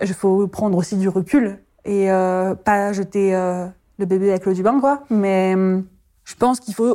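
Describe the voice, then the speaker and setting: A woman talks at a medium pitch and a fairly slow pace. Her tone is dark and mellow, with fairly even intonation. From France. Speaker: midwife. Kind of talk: testimony.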